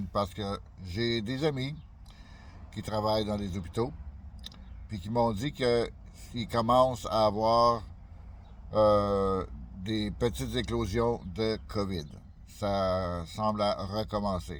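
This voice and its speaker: Long, frequent pauses mark a man's very slow delivery. He speaks at a fairly low pitch. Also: ordinary pitch variation. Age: 60s. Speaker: YouTuber. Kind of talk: casual vlog monologue. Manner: halting, many fillers.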